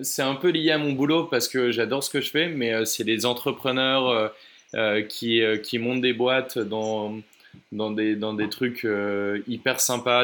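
Medium-pitched male speech in an unremarkable speaking voice, fairly even in intonation, on a very clean recording with a silent background. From Oise, northern France. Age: 20s. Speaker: traveler. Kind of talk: interview.

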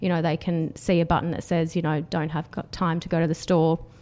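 A woman with an Australian accent speaks at a fairly quick pace and fairly low pitch. Her tone is dark and mellow, her intonation monotone and flat. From Australia, Canberra. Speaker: startup founder. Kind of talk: podcast interview.

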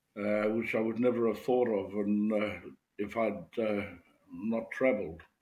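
Against audible room echo, a man speaks fairly slowly and fairly low, with fairly even intonation. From New Zealand, rural Maori village. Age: old. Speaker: Maori elder and haka workshop leader. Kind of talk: interview. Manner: halting.

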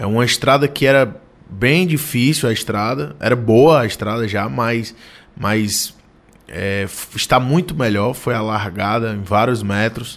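A normal speaking voice from a man, medium in pitch, with lively intonation and a fairly slow pace. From Ceará interior, Brazil (Ipu). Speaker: state politician. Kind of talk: radio interview. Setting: studio.

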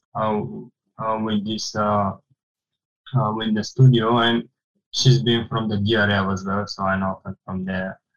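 A man with a Bulgarian accent, fairly low in pitch, at a fairly slow pace with long, frequent pauses and fairly even intonation. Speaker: architectural designer. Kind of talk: casual interview.

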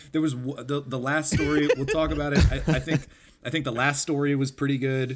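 A man with a plain, everyday voice talks fairly quickly at a medium pitch in a very clean recording with a silent background. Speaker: podcast co-host. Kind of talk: casual chat.

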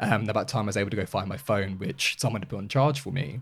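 Fairly quick and lively in intonation, a man speaks with a somewhat breathy, fairly low voice. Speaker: member of an LGBTQ charity's advocacy team. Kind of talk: casual chat. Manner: clear diction.

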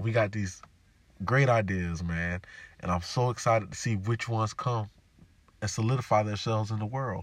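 The tone is animated and somewhat breathy, at a moderate pace. Long pauses come often. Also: man, fairly low pitch for a man. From US South, Jacksonville, Florida. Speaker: podcast host. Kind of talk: solo monologue podcast.

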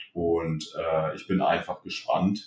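Monotone, flat intonation runs through the speech. The speaker is a man. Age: 20s. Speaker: competitive bodybuilder. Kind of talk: casual interview.

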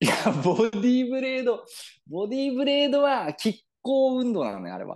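With a Yamagata accent, a man speaks at an extremely high pitch, a moderate pace and ordinary pitch variation. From Yamagata, Japan. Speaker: podcast co-host. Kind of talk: mock promotional announcement; casual chat.

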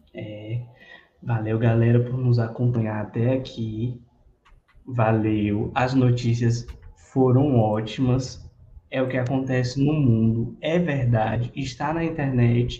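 This man talks at a very slow pace. His pitch is medium and his intonation fairly even. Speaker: podcast co-host. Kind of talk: casual chat. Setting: live stream.

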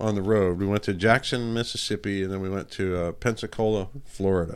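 A plain, everyday voice from a man, fairly low in pitch with ordinary pitch variation and a fairly quick pace, on a very clean recording over a silent background. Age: 50s. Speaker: rock guitarist. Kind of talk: casual interview chat.

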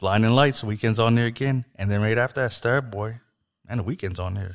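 On a very clean recording with a silent background, a man in a normal speaking voice talks at a fairly quick pace and medium pitch, the sound dry and close with no echo. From Canada. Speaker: podcast host. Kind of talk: casual chat.

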